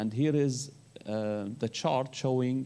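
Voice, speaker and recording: A man speaks with an Arabic accent in a dark, mellow tone. His intonation stays fairly even. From Syria. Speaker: human rights researcher. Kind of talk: conference panel presentation. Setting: conference panel. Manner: halting.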